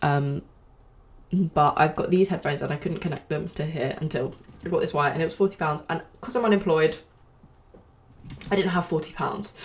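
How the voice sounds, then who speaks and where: Fairly low and somewhat breathy, a woman's voice moves at a fairly quick pace with ordinary pitch variation. Long, frequent pauses break up her speech. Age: 20s. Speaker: podcast host. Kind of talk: casual podcast talk.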